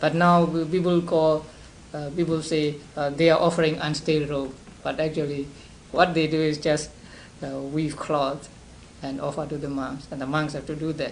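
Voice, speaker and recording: There is audible room echo as a man speaks in a fairly high, monotone, flat voice. His pace is moderate, with long, frequent pauses. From Burma (Upper Burma, Sagaing). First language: Burmese. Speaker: Buddhist monk teacher. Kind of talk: lecture. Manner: halting, many repetitions and fillers.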